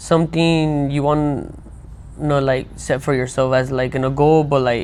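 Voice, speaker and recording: With audible room echo around him, a man speaks in a dark, mellow tone at a fairly high pitch, keeping his intonation fairly even. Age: 20s. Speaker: podcast host. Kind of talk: interview.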